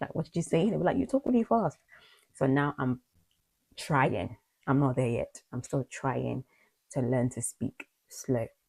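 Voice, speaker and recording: A woman speaks with a very deep, low pitch and a slight Nigerian accent. Her delivery has long, frequent pauses. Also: lively intonation, dry, close sound with no echo. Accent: slight Nigerian twang in British English. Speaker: video blogger. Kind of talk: personal vlog monologue. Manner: fast.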